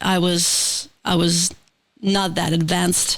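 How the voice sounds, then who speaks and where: A woman talks with a Ukrainian accent. Her pitch is medium. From Ukraine. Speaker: multidisciplinary artist and production co-owner. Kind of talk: casual interview chat. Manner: halting, hesitant.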